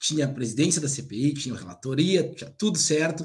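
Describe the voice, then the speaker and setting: A man speaks at a fairly quick pace and a fairly high pitch, somewhat breathy. Room echo is audible. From Paraná, southern Brazil (Cascavel). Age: old. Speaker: literary critic. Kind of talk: casual political chat.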